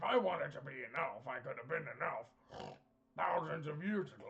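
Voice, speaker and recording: Putting on a character voice, a man talks fairly quickly in a raspy, high pitch. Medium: actual play. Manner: glib, salesmanlike, chummy.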